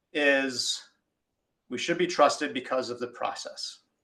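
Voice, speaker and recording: A man's fairly high, bright, sharp voice at a fairly slow pace. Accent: American. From United States. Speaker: industry engineer presenting at webinar. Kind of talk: webinar presentation. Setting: online webinar.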